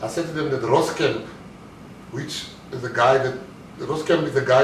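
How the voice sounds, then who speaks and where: A man's fairly high-pitched voice at a fairly quick pace, with fairly even intonation, audible room echo and noticeable background noise. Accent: South African. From South Africa. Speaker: motivational speaker, former bank robber turned entrepreneur. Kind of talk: motivational talk.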